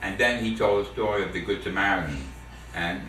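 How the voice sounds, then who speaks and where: A man speaks with audible room echo while music plays in the background. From New York City, the Bronx. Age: 70s. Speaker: war veteran. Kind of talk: family oral history interview. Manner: halting, many repetitions and fillers.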